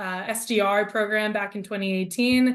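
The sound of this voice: Her pace is moderate. The woman's intonation holds fairly even.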